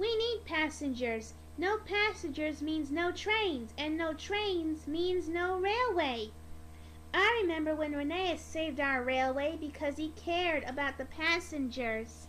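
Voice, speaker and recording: Using a put-on character voice, a woman speaks at a fairly slow pace. Clear background noise is audible. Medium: read story. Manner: earnest, fatherly.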